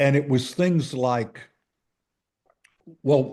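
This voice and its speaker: Speaking with a Texan accent, a man uses a dark, mellow tone and ordinary pitch variation. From Texas. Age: 80s+. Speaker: author and Marine veteran. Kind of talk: interview answer. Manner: slow, hesitant.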